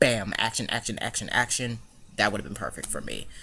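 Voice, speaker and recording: A man's medium-pitched voice comes across with a bright, sharp tone. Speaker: YouTube movie reviewer. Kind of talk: casual video review. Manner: stutters over words; mumbles sometimes, rambling.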